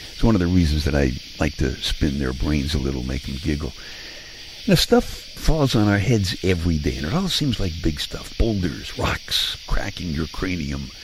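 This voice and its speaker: Over noticeable background noise, a man with an American accent speaks at a moderate pace. His pitch is very deep and low, and his intonation is lively. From Brooklyn, New York. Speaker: radio host. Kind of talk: bedtime monologue. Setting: home living room.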